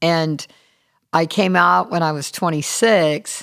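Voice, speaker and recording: A woman's very deep, low voice with ordinary pitch variation, in an American accent. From US South, Charleston, South Carolina. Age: 60s. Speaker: recording studio manager. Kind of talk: casual interview. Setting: podcast interview.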